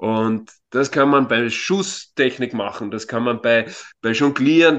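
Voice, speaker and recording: A man's very slow speech carries ordinary pitch variation. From Austria, Vienna area. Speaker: youth football coach. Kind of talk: interview. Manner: frequent filler words.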